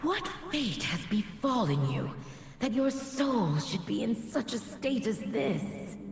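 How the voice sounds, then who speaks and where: A female-sounding, cartoonish character voice speaks fairly slowly at a fairly high pitch. There is clear echo and clear background noise. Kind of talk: epic fantasy game dialogue. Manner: solemn, formal.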